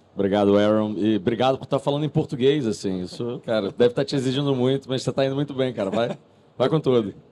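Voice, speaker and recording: A man's medium-pitched voice, dark and mellow in tone, at a very fast pace with ordinary pitch variation. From Brazil, Rio de Janeiro. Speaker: crypto asset manager CEO. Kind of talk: live panel discussion. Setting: stage with audience at a conference stand.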